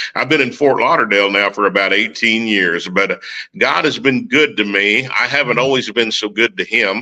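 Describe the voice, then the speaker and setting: A man with a strong Oklahoma accent, medium pitch and a bright, sharp tone, at a moderate pace with very even loudness and ordinary pitch variation. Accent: Oklahoma country accent, strong. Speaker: military veteran and recording artist. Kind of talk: testimony.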